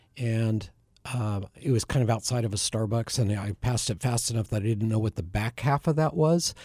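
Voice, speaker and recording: In a very clean recording with a silent background and a dry, close sound with no echo, a man with an American accent speaks at medium pitch in a dark, mellow, somewhat breathy tone. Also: ordinary pitch variation. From Bend, Oregon, US Pacific Northwest. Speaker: ministry area director, former broadcaster. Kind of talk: radio interview, conversational. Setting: studio.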